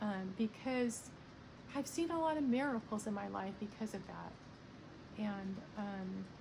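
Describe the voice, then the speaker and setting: A woman with a fairly high pitch talks at a fairly slow pace, using lively intonation and long, frequent pauses. Noticeable background noise runs behind her. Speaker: video blogger sharing art. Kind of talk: casual monologue. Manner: hesitant, many fillers.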